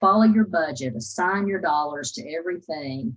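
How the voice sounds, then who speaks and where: Speaking at a moderate pace, a woman with a somewhat breathy voice makes very wide pitch swings. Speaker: university finance officer presenting to students. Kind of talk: presentation Q&A.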